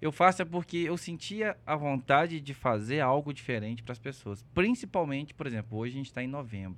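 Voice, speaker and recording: A man with a plain, everyday voice speaks at a fairly quick pace and fairly high pitch, with lively intonation. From Belo Horizonte, Minas Gerais, Brazil. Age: 30s. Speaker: content creator. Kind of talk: casual chat.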